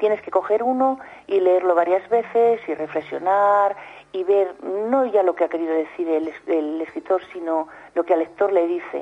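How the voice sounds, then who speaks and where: Speaking at a fairly slow pace, a woman has a medium-pitched voice with a dark, mellow tone. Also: ordinary pitch variation. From Spain, Soria. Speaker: writer. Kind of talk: radio interview. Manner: halting.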